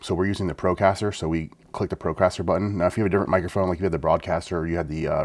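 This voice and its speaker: Soft-spoken and very fast, a man talks in a very deep, low pitch. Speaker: tech tutorial youtuber. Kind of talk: tutorial. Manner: fairly soft-spoken.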